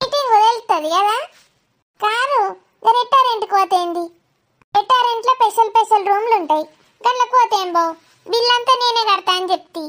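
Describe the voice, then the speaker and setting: Putting on a loud, squeaky cartoonish character voice at an extremely high pitch, a woman speaks fairly slowly with ordinary pitch variation. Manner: loud, bossy.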